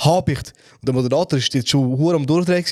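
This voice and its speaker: A man speaks at a fairly quick pace in a normal speaking voice. His pitch is fairly high, with ordinary variation. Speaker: podcast co-host. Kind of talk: casual chat.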